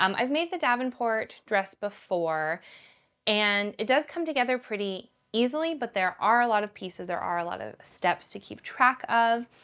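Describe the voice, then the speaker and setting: A woman's fairly high voice at a moderate pace, with very wide pitch swings and a quiet background. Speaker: sewing vlogger. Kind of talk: casual chat. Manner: relaxed, many fillers.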